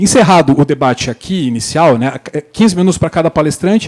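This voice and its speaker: Speaking in a Paraná accent at a moderate pace, a man has a fairly high pitch, with a dry, close sound and no echo. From Paraná, southern Brazil. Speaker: panel moderator, lawyer. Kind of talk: conference panel moderation. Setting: stage with audience. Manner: hesitant, many fillers.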